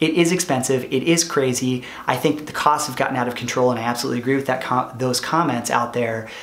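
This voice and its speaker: Over audible room echo, a man of medium pitch talks at a very fast pace with fairly even intonation and hardly any pauses. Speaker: product manager and former entrepreneur. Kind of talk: vlog monologue. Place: home room.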